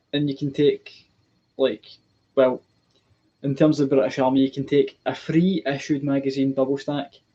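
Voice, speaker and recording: Dark, mellow tone from a man. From Scotland. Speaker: military gear collector streamer. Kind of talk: live stream chat. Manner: hesitant, many ums. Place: home room. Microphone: webcam.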